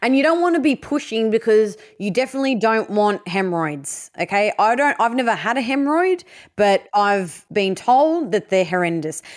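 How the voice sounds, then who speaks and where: Moderate pace, very wide pitch swings and very even loudness, with an Australian accent, on a very clean recording with a silent background. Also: woman, fairly high pitch for a woman. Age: 30s. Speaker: podcast co-host. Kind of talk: casual chat. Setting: at home, bedroom.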